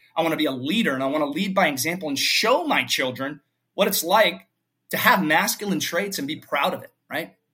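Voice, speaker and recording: With lively intonation and big swings in loudness, a man with an unremarkable speaking voice speaks at fairly high pitch and a fairly quick pace. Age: 40s. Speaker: fitness coach for fathers. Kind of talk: casual interview conversation.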